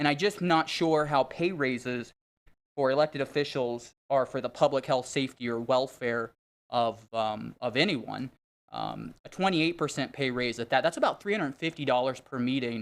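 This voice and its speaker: In a very clean recording with a silent background, a man speaks at a moderate pace and a medium pitch with ordinary pitch variation. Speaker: member of the public speaking at council meeting. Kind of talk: public comment at city council meeting. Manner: loud.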